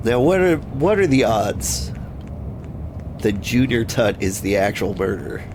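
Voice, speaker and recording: Over noticeable background noise, a man with a fairly low pitch talks at a very slow pace with hardly any pauses, very wide pitch swings and very even loudness. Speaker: gaming video host. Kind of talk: casual gameplay commentary.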